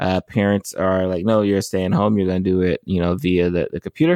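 Recorded with a dry, close sound and no echo, a man talks at a fairly quick pace. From United States. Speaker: physician and medical consultant. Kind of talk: interview. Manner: halting.

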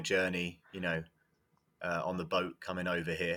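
A man's very deep, low voice in an English accent at a fairly quick pace, in a very clean recording with a silent background. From England. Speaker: football coach. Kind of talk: casual chat.

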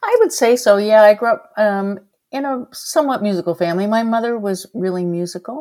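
A woman's dark, mellow tone at a fairly quick pace. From Nova Scotia, Bible Hill. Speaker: singer-songwriter. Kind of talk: interview.

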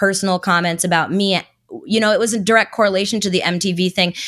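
On a very clean recording with a silent background, a woman speaks at medium pitch in a monotone, flat intonation. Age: 20s. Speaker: crypto internet personality. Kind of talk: casual chat.

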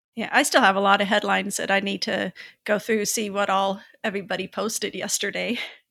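Talking very fast, a woman has a bright, sharp tone with vocal fry and a monotone, flat intonation. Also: medium pitch for a woman. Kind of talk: casual chat.

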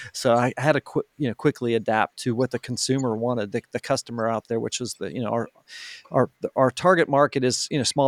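A man speaks in an American accent with fairly even intonation. His pace is very fast. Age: 50s. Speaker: marketing agency founder. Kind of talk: interview. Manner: frequent fillers and restarts.

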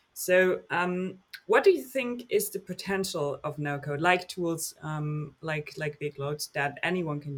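With a German accent, a man is talking. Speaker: podcast host. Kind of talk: interview.

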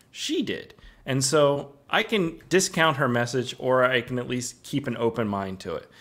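With normal rise and fall in pitch, an ordinary speaking voice proceeds rather slowly. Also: man. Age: 30s. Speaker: documentary filmmaker. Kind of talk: interview conversation. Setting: remote video call.

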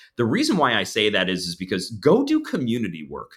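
A medium-pitched man with an American accent and a bright, sharp tone, on a very clean recording with a silent background. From New Jersey, near Long Beach Island. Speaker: counseling supervisor and professor. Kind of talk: interview conversation. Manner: repeats words when starting sentences.

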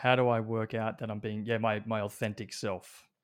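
A man speaks at a fairly slow pace with an Australian accent. The recording is very clean, with a silent background. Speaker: brain coach. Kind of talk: casual chat.

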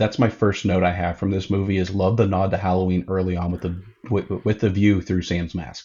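In an American accent, a man speaks with a very deep, low pitch, a somewhat breathy tone and monotone, flat intonation. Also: fairly quick pace. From northwestern Pennsylvania, US. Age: 30s. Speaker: craft beer event organizer. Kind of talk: casual chat.

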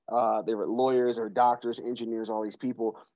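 Against a quiet background, a man with an American accent speaks at a medium pitch in a dark, mellow tone with fairly even intonation. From US Pacific Northwest, Seattle. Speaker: youth development speaker. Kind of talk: casual interview. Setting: remote call from office.

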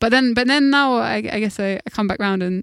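Recorded with a dry, close sound and no echo, a woman speaks with a London accent. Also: very clean recording, silent background. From South London. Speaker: musician. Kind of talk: interview. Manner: halting, many fillers.

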